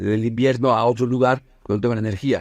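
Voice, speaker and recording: A man speaks at a fairly quick pace with a medium pitch. The sound is dry and close, without echo. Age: 50s. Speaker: business consultant. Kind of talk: casual chat. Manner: halting.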